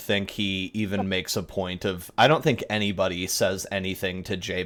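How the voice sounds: What you hear is a natural reading voice.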